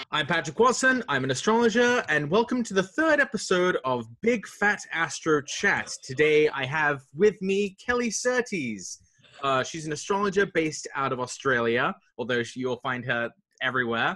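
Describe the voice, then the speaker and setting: A man speaks at a moderate pace with an English accent and very wide pitch swings. His tone is bright and sharp against a quiet background. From England. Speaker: astrologer, podcast host. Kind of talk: casual chat. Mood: cheerful, friendly. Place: home room.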